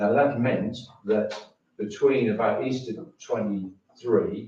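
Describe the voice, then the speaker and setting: With a dark, mellow tone and a somewhat breathy quality, a man speaks at a medium pitch and fairly slow pace with ordinary pitch variation, amid audible room echo. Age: 70s. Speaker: member of the public at a council meeting. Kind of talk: public comment at council meeting. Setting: town council meeting room. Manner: halting.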